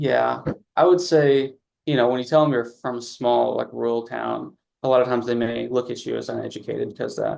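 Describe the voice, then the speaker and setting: A man talks at a fairly quick pace with a slight Southern US accent. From Southeast Missouri, Campbell. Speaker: pre-med student. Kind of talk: interview.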